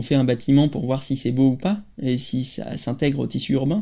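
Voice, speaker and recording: Over noticeable background noise, a man talks at a moderate pace with a medium-pitched voice and ordinary pitch variation. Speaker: architect and playground designer. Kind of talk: interview. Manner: halting.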